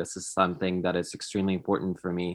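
A man with a Polish accent talks at a very fast pace. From Poland. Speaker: podcaster. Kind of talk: interview.

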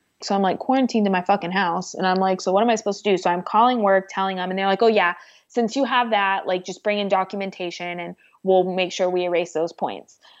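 Over a quiet background, a woman talks very fast at a medium pitch with fairly even intonation. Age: 20s. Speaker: interview guest, assault survivor. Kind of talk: personal testimony in interview. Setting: phone or remote call.

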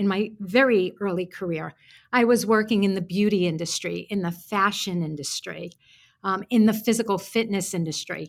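Lively in her intonation, a woman speaks with a New York accent in a very clean recording with a silent background. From Brooklyn, New York. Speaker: author and career coach. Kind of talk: casual interview chat.

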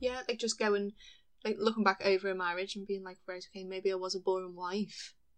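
A woman speaks at a very fast pace in a monotone with flat intonation. Her loudness swings a lot. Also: medium pitch for a woman. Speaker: book podcaster guest. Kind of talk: casual podcast chat, book discussion.

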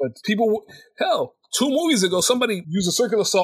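Speaking with an American accent, a man talks at a very fast pace. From United States. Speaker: podcast co-host. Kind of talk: casual chat.

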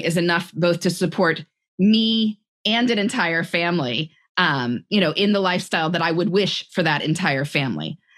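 This woman has a fairly low pitch and a plain, everyday voice. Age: 40s. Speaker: author on time management. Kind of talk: interview conversation.

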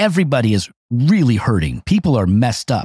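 Somewhat breathy, a man speaks at a fairly quick pace with very wide pitch swings, in a dry, close sound with no echo. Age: 50s. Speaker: pastor. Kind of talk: casual chat.

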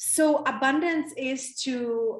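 A woman with a Czech accent. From Czech Republic. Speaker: women's coach. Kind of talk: interview conversation. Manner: animated.

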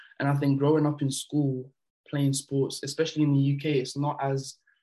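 A man talks at a fairly quick pace and a fairly high pitch. His tone is dark, mellow and somewhat breathy, with monotone, flat intonation. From France, moved to the UK at about 12. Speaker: basketball player. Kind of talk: casual interview.

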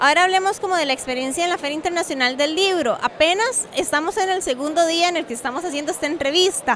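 A woman at an extremely high pitch with ordinary pitch variation, talking at a very fast pace with hardly any pauses, over noticeable background noise. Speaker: podcast host. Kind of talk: casual chat and interviews. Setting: book fair venue.

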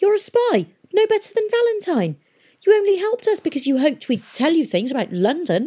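This squeaky put-on character voice has an extremely high pitch, very wide pitch swings and a fairly quick pace. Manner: angry, accusing.

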